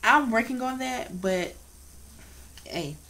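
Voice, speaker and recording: Audible room echo surrounds this woman's voice. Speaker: vlogger with cancer treatment. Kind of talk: casual vlog monologue. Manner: slurred speech.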